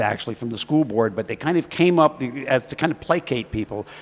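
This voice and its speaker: A man with an American accent speaks at a fairly high pitch with ordinary pitch variation. Noticeable background noise can be heard. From Arlington, Virginia, US. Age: 50s. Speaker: alumnus telling a personal story. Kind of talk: personal reminiscence at an anniversary event. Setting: celebration event. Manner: hesitant, many fillers.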